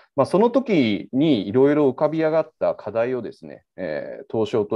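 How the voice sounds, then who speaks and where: This is a man speaking. He keeps a moderate pace. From Osaka, Japan. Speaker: crypto exchange executive. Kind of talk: casual interview.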